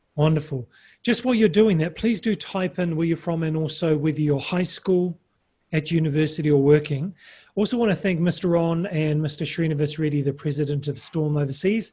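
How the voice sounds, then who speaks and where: A man with a New Zealand accent speaks at a fairly quick pace. His voice is fairly high in pitch with a dark, mellow tone. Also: ordinary pitch variation. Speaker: webinar presenter. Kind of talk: webinar presentation. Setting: video call webinar.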